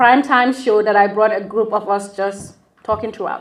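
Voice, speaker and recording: Over noticeable background noise, a woman speaks at a moderate pace in a fairly high voice with fairly even intonation. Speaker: law scholar and lecturer. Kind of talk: lecture.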